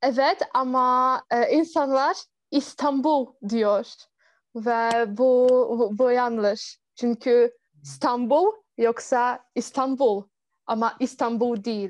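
At a very slow pace, a woman with a Polish accent speaks at a high pitch with ordinary pitch variation. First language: Polish (speaking Turkish). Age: 20s. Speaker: university student. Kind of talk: interview. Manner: halting.

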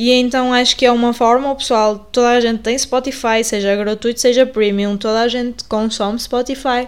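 A woman's high-pitched voice with monotone, flat intonation. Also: moderate pace, hardly any pauses. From northern Portugal, Paredes (Porto). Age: 20s. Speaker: podcast host and journalism student. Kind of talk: casual podcast introduction. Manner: hesitant, many fillers and repetitions.

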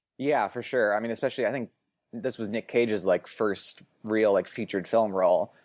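With a West Coast accent, a man speaks at a fairly quick pace in a medium pitch with fairly even intonation, the sound dry and close with no echo on a very clean recording with a silent background. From US Pacific Northwest, Portland, Oregon. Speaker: film writer and podcaster. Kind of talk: casual chat.

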